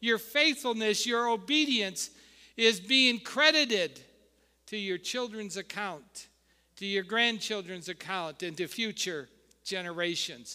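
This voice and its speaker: A man's raised, projected voice, high-pitched with a bright, sharp tone and lively intonation, at a fairly slow pace, on a very clean recording with a silent background. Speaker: founding pastor. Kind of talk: warm, exhortational Sunday sermon on generational blessing. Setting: church with live congregation. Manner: call-and-response preaching, inviting amens from congregation; hesitant, stumbling with filler uhs and repeated words.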